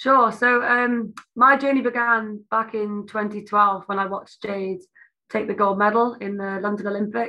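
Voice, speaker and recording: With a South Welsh accent, a woman talks at a moderate pace in a fairly high, flat monotone. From South Wales. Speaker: Olympic taekwondo athlete. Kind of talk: interview.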